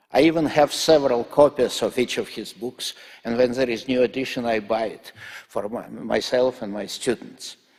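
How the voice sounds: A man talks with fairly even intonation and few pauses. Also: medium pitch for a man, moderate pace, slightly mellow tone.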